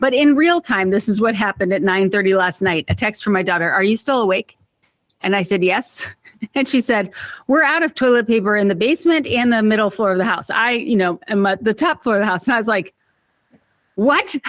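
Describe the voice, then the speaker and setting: A woman's animated, fairly high voice with lively intonation, very even loudness and a fairly quick pace. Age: 50s. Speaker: organization expert and author. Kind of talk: podcast interview.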